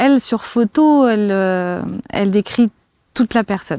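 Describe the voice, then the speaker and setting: In a very clean recording with a silent background and a dry, close sound with no echo, a woman of medium pitch speaks at a fairly slow pace in a dark, mellow tone with ordinary pitch variation. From France near the Swiss border. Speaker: kinesiologist and personal coach. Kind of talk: interview testimony. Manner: hesitant, many fillers.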